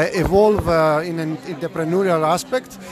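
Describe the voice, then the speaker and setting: Over crowd noise in the background, a man with a Greek accent talks at a moderate pace, his pitch high with ordinary variation. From Greece. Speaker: food scientist and startup founder. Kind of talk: interview. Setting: event venue.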